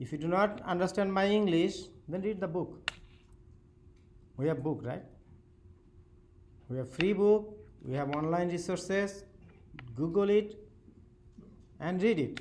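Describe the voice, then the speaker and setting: In a strong non-native accent, the speaker goes at a fairly slow pace with long, frequent pauses and audible room echo. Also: man, high pitch for a man, ordinary pitch variation. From Bangladesh. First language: Bengali. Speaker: university professor. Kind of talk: lecture. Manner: halting.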